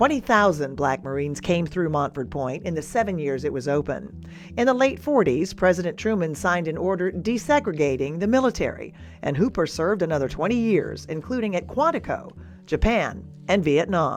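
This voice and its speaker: A woman with a fairly low pitch speaks at a fairly quick pace, her voice swinging very widely in pitch. Music plays in the background. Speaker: TV news reporter. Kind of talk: TV news feature narration.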